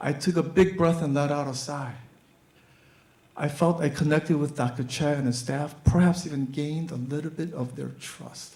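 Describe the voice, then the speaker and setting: This man's voice sits fairly high, and his pitch varies in an ordinary way. He speaks at a moderate pace. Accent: American. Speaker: physician. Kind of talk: live storytelling performance.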